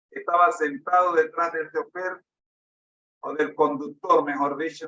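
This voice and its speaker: Fairly slow and monotone, a man speaks with flat intonation. His voice is fairly high with a bright, sharp tone. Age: 60s. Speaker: preacher. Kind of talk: sermon with personal testimony.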